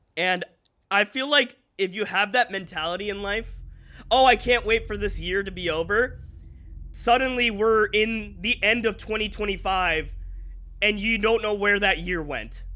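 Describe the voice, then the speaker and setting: A man with a high pitch and a bright, sharp tone speaks in a raised, projected voice at a moderate pace with ordinary pitch variation. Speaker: gaming streamer. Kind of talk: live stream chat. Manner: casual, chatty.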